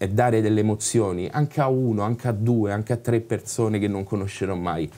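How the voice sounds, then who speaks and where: Speaking at a fairly quick pace, a man with a fairly low pitch and a dark, mellow tone uses ordinary pitch variation. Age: 30s. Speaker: actor and writer; actor. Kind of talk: interview. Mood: reflective, candid. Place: bar.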